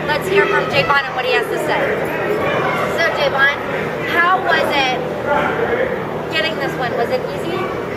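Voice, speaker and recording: A woman speaks with long, frequent pauses. Crowd noise carries in the background. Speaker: event co-host interviewer. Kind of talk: interview questions. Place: hall. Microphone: camera far.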